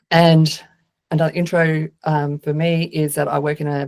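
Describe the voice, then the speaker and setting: A woman's very deep, low pitch with an Australian accent. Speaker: agile consultant and speaker. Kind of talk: conference talk. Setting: video call.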